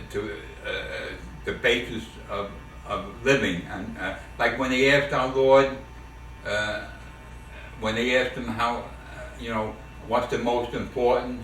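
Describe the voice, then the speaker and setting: A man with a New York accent at a moderate pace, long, frequent pauses, audible room echo and noticeable background noise. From New York City, the Bronx. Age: 70s. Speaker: family elder interviewed by son. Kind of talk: family oral history interview. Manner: halting, many fillers and repetitions.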